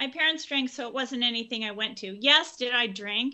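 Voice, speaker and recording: This woman has an American accent and a fairly high pitch. Her pitch varies in an ordinary way. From Oakland, California. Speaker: author and social worker. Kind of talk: interview.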